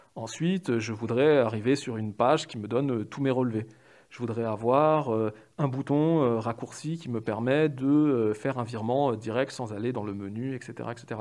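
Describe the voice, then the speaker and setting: A man speaks at a fairly slow pace in a normal speaking voice, his pitch medium with ordinary variation. The background is quiet. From Paris, France. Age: 30s. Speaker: UX/UI designer. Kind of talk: interview.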